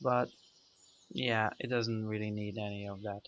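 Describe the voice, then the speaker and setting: A man with a non-native accent speaks at a fairly slow pace in a bright, sharp tone. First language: not English. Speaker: gaming video creator. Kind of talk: let's play commentary. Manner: halting, many fillers.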